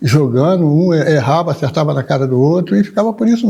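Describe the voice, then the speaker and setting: Lively intonation runs through the man's high-pitched speech. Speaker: candomblé drummer and elder. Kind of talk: oral history interview.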